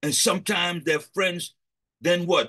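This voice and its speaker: Over a quiet background, a man speaks in a bright, sharp tone with ordinary pitch variation. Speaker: preacher leading a prayer session. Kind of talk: sermon. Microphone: video call.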